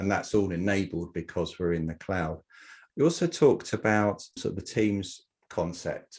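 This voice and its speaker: At a moderate pace, a man with an English accent and a very deep, low pitch speaks with fairly even intonation over a quiet background. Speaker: genealogy software founder. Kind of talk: interview. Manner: hesitant, many fillers.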